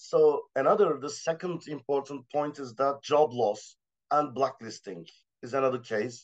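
Speaking with a Turkish accent, a man with a fairly high pitch shows big swings in loudness. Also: ordinary pitch variation, moderate pace, quiet background. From Turkey. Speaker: assistant professor, art critic; panelist. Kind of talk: panel discussion. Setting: video call. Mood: serious, measured. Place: home room. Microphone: video call.

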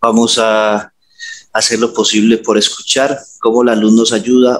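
A man speaks here. His intonation is flat and monotone. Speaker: hypnotherapist. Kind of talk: hypnosis session. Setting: video call. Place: home room. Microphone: headset.

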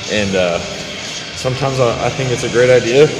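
A man speaks at a moderate pace. Clear music can be heard behind him. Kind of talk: casual vlog chat. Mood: reflective, joking. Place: gym.

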